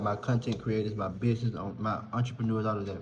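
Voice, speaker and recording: With a Southern US accent and a relaxed tone, a man speaks amid audible room echo. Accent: Southern country. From US South, rural South Carolina. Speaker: content creator and podcaster. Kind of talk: casual vlog chat. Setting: apartment lounge. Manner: conversational, relaxed.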